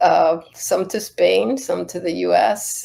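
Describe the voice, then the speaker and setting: Here a woman talks with a Spanish accent. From Cuba and the US, Cuban-American family. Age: 60s. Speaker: Buddhist nun. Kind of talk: interview. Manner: halting.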